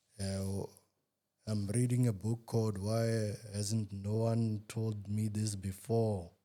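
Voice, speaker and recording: This man talks at a very slow pace. His voice is fairly low in pitch, with a dark, mellow tone. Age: young. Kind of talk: interview. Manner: brief, hesitant answers.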